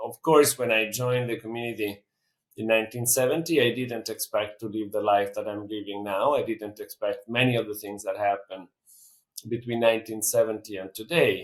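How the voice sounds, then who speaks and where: This man's medium-pitched voice keeps fairly even intonation as he talks fairly quickly. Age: 60s. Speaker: peacebuilder and conflict mediator. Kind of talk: interview. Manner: reflective, with frequent hesitations.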